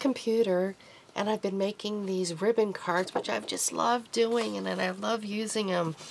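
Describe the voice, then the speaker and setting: A woman with a medium pitch speaks at a moderate pace against noticeable background noise. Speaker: crafter. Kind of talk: craft tutorial. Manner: casual, halting with fillers.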